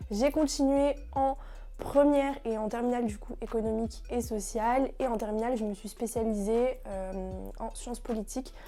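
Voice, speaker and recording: A woman with a dark, mellow tone talks at a moderate pace, keeping her intonation fairly even. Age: 20s. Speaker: law student, founder of a student association. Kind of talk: interview answers, casual. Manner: hesitant, many fillers.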